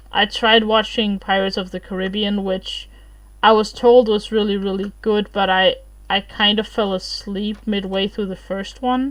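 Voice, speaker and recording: Someone with a non-native accent speaks at a moderate pace in a monotone, flat way. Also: woman, medium pitch for a woman. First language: not English. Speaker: streamer. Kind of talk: casual livestream chat.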